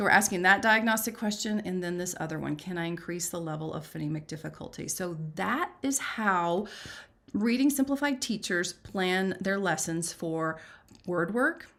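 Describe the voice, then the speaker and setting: Speaking at a moderate pace, a woman uses an animated tone and lively intonation at a medium pitch. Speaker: reading teacher. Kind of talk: live webinar teaching.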